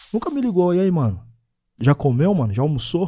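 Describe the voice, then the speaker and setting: The man's voice is high-pitched with a dark, mellow tone. He talks at a very fast pace with very wide pitch swings. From Osasco and Bauru, São Paulo state. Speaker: podcast co-host, stand-in. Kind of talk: casual podcast chat.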